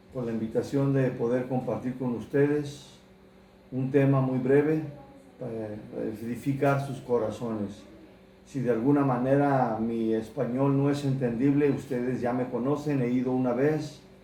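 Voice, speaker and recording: With audible room echo and noticeable background noise, a man with a medium pitch talks at a fairly slow pace in a monotone, flat intonation. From United States. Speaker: pastor. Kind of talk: sermon.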